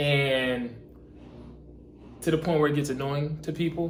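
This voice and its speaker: Over audible room echo, a man speaks at a moderate pace with fairly even intonation. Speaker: YouTube reaction video creator. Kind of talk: casual reaction commentary. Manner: casual, filler-heavy.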